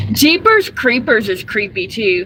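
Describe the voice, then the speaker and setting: Music plays in the background as a woman with an American accent speaks very slowly in a raised, projected voice. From US South, Georgia. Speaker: live streamer, delivery driver. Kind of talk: casual live stream chat. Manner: chatty, frequent fillers.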